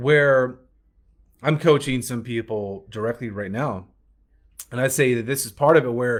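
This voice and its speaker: On a very clean recording with a silent background, a man with a medium pitch and an American accent speaks at a moderate pace with ordinary pitch variation, long, frequent pauses and big swings in loudness. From US South, Alabama. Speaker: business coach. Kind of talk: business training talk.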